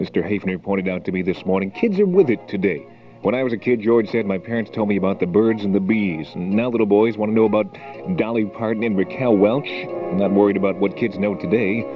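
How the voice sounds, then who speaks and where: Music plays behind a man speaking in an upbeat tone at a very fast pace. His pitch is fairly low with ordinary variation. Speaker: radio announcer. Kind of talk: AM radio DJ patter. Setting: radio broadcast studio. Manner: upbeat, chatty.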